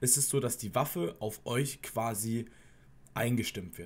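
The man's voice is somewhat breathy. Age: 20s. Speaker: former soldier, YouTuber. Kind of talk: casual vlog monologue; casual vlog chat. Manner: casual, with frequent fillers. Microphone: earbuds.

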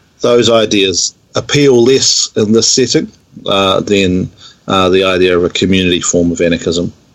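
A man with a New Zealand accent and a very deep, low pitch speaks at a moderate pace with ordinary pitch variation. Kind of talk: casual interview.

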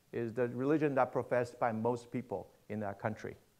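Against a quiet background, a man speaks at a moderate pace with a Mandarin accent. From Taiwan, then Argentina (Buenos Aires) from age 13. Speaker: pastor. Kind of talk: sermon. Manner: halting, many fillers and repetitions. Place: church.

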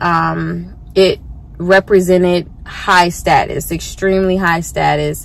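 Very slow pacing marks this woman's speech. The sound is dry, with no echo. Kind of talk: casual vlog chat. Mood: relaxed, enthusiastic. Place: car. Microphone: phone near.

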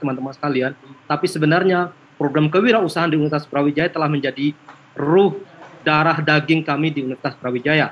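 The voice belongs to a man. Its pitch variation is ordinary. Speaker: university program presenter; presenter. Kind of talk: presentation and Q&A. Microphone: video call.

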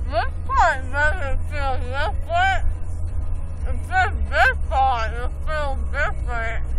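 Speech comes at a very slow pace with a dry sound and no echo. Loud background noise is present. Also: woman. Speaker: vlogger after dental work. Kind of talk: casual vlog chat. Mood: groggy, drowsy. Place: car. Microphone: phone near.

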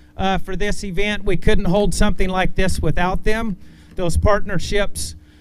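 A man talks in a high pitch with monotone, flat intonation at a moderate pace. Noticeable background noise sits behind him. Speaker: tournament emcee. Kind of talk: event announcement. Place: stage.

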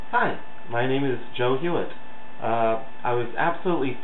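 Audible room echo and light background noise around a man talking at a moderate pace. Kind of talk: casual video message. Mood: playful, mock earnest. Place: home room. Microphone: webcam.

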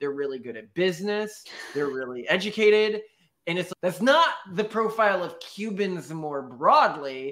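A man's high voice with very wide pitch swings and big swings in loudness, over a quiet background. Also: moderate pace. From Texas. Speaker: podcast co-host. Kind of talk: casual chat. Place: home room.

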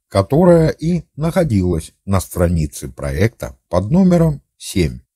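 Somewhat breathy and dark, mellow in tone, a man speaks at a very slow pace with very wide pitch swings, the sound dry and close with no echo. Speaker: amateur history video narrator. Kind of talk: scripted narration. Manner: formal.

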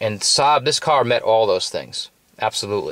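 The pace is moderate. The background is quiet and the sound is dry with no echo. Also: man. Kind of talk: casual product review. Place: car. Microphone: phone near.

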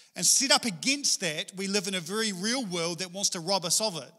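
This man projects a raised voice at a fairly quick pace with ordinary pitch variation. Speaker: preacher. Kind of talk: sermon. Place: church. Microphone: handheld.

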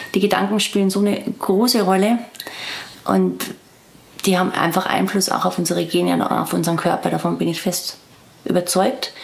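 A woman talks at a moderate pace, with long, frequent pauses. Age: 40s. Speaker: interviewee telling her story. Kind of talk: interview answer. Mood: serious, reflective, worried. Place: garden.

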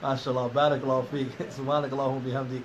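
A man rattles off words at a very fast pace in a monotone, flat manner amid noticeable background noise. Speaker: podcast host. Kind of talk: interview. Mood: warm, thankful. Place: classroom. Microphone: phone near.

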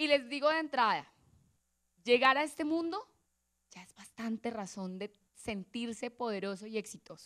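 Against a quiet background, a woman with a fairly high voice talks at a moderate pace in an animated tone, with lively intonation and big swings in loudness. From Colombia, Boyacá (Sogamoso); Boyacá, Colombia. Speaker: motivational speaker, lawyer and social innovator; invited lecturer. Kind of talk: motivational talk. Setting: auditorium stage with audience. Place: hall. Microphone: handheld.

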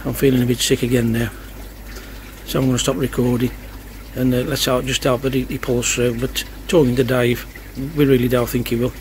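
Light background noise sits behind a man's voice. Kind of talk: casual vlog chat. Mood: worried, subdued. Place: garden. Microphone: phone near.

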